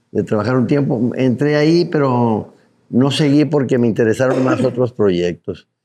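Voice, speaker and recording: At a medium pitch and moderate pace, a man speaks in a dark, mellow tone with ordinary pitch variation and very even loudness. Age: 70s. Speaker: journalist and advertising businessman. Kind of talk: interview.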